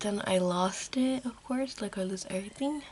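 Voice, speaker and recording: A whispered voice. Noticeable background noise can be heard. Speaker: beauty vlogger. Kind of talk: casual makeup tutorial vlog. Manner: whispering a little; rambling, casual.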